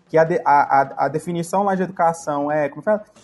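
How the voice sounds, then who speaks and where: Over music in the background, a man speaks in a high pitch at a moderate pace. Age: 30s. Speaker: podcast guest. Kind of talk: casual chat. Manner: halting.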